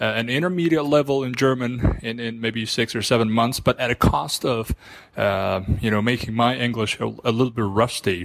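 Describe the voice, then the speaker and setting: This man speaks with a Persian accent at a moderate pace. His pitch is medium, with ordinary pitch variation. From Iran. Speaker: listener sending a voice question. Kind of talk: recorded voice message.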